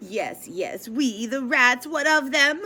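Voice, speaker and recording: A woman speaks in a high, put-on character voice. Her pace is fairly slow. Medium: read story. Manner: dramatic, overwrought.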